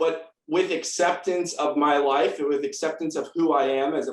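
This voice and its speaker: A man with a normal speaking voice holds a moderate pace, his fairly high pitch showing ordinary pitch variation. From US West Coast, San Diego, California. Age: 30s. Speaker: nonprofit founder and patient advocate. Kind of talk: testimony. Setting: video call.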